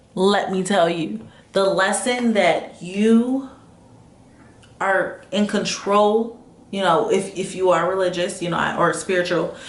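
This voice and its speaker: Speaking at a very slow pace, a woman keeps a fairly even intonation. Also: medium pitch for a woman. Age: 20s. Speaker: motivational vlogger. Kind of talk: casual talk to camera.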